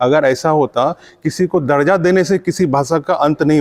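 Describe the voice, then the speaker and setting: The sound is dry and close, with no echo, as a man speaks at a fairly high pitch. His pace is moderate and his pitch varies in an ordinary way. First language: Angika (speaking Hindi). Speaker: writer and language activist. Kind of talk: conference speech. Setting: conference. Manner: hesitant fillers, argumentative.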